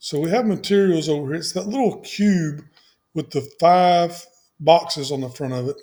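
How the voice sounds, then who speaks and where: Pitched high for a man, his dark, mellow voice moves at a moderate pace with ordinary pitch variation. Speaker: software tutorial presenter. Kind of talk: tutorial.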